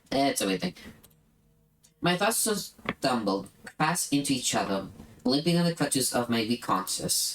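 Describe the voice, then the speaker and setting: The speech moves at a moderate pace, with noticeable noise in the background. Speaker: streamer. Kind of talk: reading aloud.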